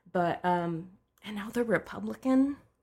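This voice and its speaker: A woman's somewhat breathy voice at a medium pitch, delivered at a fairly slow pace. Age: 30s. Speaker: social media and content strategist. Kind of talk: casual chat.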